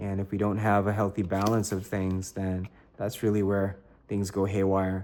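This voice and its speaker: This man is soft-spoken with a fairly low pitch. He keeps a moderate pace. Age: 30s. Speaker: toy collector YouTuber. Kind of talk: unboxing review. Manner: casual with many fillers.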